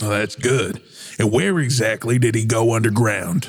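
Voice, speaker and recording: A man talks in a put-on character voice at a moderate pace. His loudness stays very even throughout. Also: medium pitch for a man. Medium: actual play. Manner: gruff, commanding.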